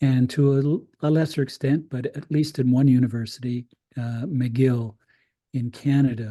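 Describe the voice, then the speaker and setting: This man's tone is dark and mellow. He speaks at a moderate pace with fairly even intonation. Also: medium pitch for a man. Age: 70s. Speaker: critical pedagogy scholar. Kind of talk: invited talk. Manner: halting, many fillers and repetitions.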